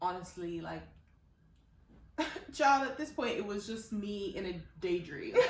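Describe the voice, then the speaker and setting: A woman at medium pitch with very wide pitch swings, a fairly slow pace, long, frequent pauses and audible room echo. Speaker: podcast co-host. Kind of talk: casual chat.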